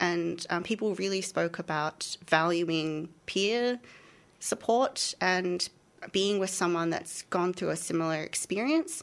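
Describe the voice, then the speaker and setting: Very slow speech from a woman with fairly low pitch and ordinary pitch variation, on a very clean recording with a silent background. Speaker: PhD candidate researcher. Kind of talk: radio interview.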